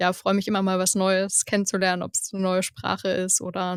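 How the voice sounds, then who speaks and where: A woman speaks at a moderate pace. The recording is very clean with a silent background and a dry, close sound with no echo. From eastern Germany, Saxony (Görlitz). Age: 20s. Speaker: production engineer. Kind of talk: podcast interview. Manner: casual, enthusiastic.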